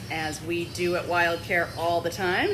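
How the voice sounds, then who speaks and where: A woman with a fairly low pitch talks amid noticeable background noise, and the room echo is audible. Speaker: wildlife center staff presenter. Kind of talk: live video tour. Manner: quiet in part.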